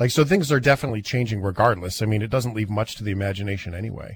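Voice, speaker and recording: A man with a Canadian accent speaks in a somewhat breathy voice. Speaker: podcast host. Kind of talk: casual interview chat. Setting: video call. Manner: animated.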